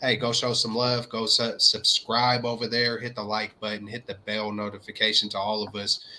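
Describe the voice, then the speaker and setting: A man with a slight Southern US accent speaks at a medium pitch and a moderate pace. His intonation is monotone and flat, with hardly any pauses. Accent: slight Southern twang. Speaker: sports YouTube co-host. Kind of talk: casual chat.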